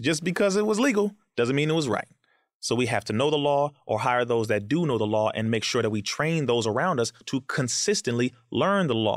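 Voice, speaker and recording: With an American accent, a man in a normal speaking voice talks at a fairly quick pace and a medium pitch, his intonation lively. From Compton, California, US. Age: 30s. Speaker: activist and educator. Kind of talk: interview conversation.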